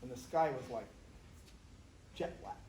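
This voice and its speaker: A man speaks at a moderate pace with a fairly high pitch. Audible room echo can be heard. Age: 70s. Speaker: astronomy instructor and track coach. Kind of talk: casual storytelling to students on a field trip. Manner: animated, conversational.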